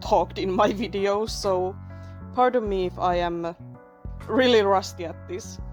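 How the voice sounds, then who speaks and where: A woman with a non-native accent speaks at a fairly slow pace. She leaves long, frequent pauses, and music plays in the background. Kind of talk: casual commentary over speedpaint. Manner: casual, rambling.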